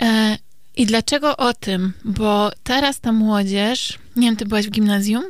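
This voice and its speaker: Using an ordinary speaking voice, a woman with a fairly high pitch speaks at a fairly slow pace and keeps her intonation fairly even. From Poland, Kielce. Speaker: psychotherapist podcast co-host. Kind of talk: casual chat.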